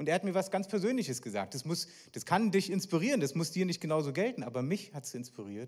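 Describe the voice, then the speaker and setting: On a very clean recording with a silent background, a man with a high pitch talks in an animated tone at a fairly quick pace. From East Berlin, Germany. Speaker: evangelist, guest preacher. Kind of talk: sermon.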